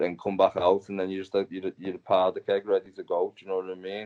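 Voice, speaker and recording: In a strong Liverpool accent, a man talks at a very fast pace with a fairly low pitch. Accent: thick Liverpudlian. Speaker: actor and martial artist. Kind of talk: casual interview. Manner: animated.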